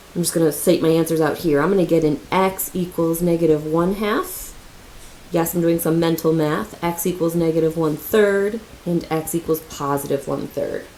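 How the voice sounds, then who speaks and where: Through noticeable background noise, a woman speaks at a fairly low pitch with fairly even intonation. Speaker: math teacher. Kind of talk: tutorial. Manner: fast; casual.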